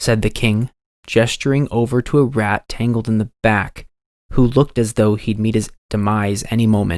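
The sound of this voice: The voice is an unforced reading voice. Little sound comes from the quiet background.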